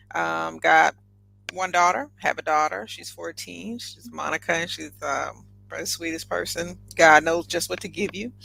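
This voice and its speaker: A woman with a Southern US accent at a moderate pace, big swings in loudness. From US South. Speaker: entrepreneur and air force veteran. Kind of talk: podcast interview.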